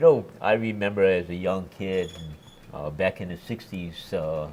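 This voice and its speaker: Speaking at a fairly slow pace in a Hawaiian accent, a man with a very deep, low pitch shows ordinary pitch variation and big swings in loudness. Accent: Hawaii English. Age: 60s. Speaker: former politician. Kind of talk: interview.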